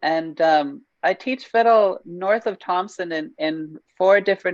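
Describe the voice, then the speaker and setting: An unremarkable speaking voice, this woman's is fairly low in pitch and fairly slow, recorded dry and close with no echo. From northern Saskatchewan, Canada. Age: 20s. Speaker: fiddle teacher. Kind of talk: panel introduction.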